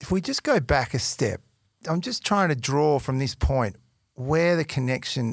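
A man with an Australian accent speaks at a moderate pace in an enthusiastic tone with lively intonation. The recording is very clean, with a silent background. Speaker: podcast host. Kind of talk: interview.

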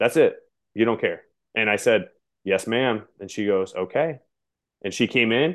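Fairly quick pace and an energetic tone. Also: man. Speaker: middle school teacher. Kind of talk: interview. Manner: animated.

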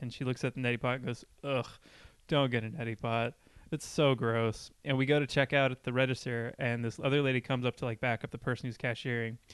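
This man talks at a very fast pace in a medium pitch. His intonation is monotone and flat. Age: 20s. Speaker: podcast co-host. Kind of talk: casual chat.

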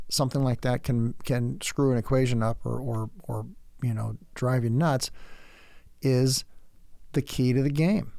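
The speaker is a man. His pitch is medium. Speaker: podcast host; former Navy veteran, tradesperson. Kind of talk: solo lecture monologue. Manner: sardonic, dark humor.

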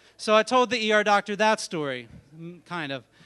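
A man's raised, projected voice carries a bright, sharp, animated tone at a moderate pace. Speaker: storyteller. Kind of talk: live storytelling, comedic. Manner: animated, comedic.

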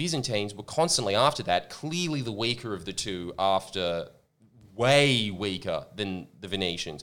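Recorded very cleanly against a silent background, a man talks at a fairly quick pace with lively intonation. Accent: Australian. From Australia. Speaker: podcast host. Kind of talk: casual banter podcast chat. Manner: joking, humorous.

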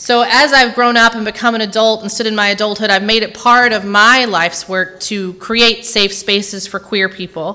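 A woman with a Tennessee accent talks at a moderate pace with hardly any pauses. Her pitch is fairly high and her intonation fairly even. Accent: US Southern (Tennessee). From Tennessee, Nashville area. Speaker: guest preacher. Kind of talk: sermon. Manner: unscripted, with many fillers.

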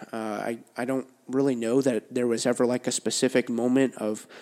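He speaks in a normal speaking voice, pitched in the medium range for a man. His intonation stays fairly even, and his pace is moderate. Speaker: youth pastor. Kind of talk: casual chat.

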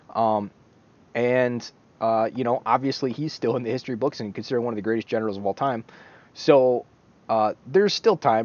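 The man's voice sits at a medium pitch with ordinary variation. He delivers his words at a fairly quick clip. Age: 30s. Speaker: book review video host. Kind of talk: solo video monologue, book review. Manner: casual with many fillers and hesitations.

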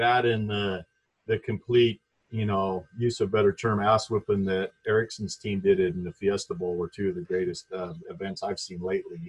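With an American accent, a man speaks at a moderate pace in a fairly low, somewhat breathy voice with ordinary pitch variation, the sound dry and close with no echo. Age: 50s. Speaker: former college basketball player. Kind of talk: casual interview. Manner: halting.

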